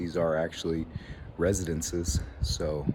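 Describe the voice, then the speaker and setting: A man's voice over noticeable background noise. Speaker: teacher. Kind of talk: casual talk to camera.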